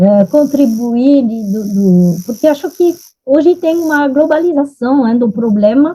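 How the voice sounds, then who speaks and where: With a dark, mellow tone and very even loudness, a woman speaks fairly slowly at a high pitch with lively intonation. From France. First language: French (speaking Portuguese). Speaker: nutrition expert. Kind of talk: panel discussion.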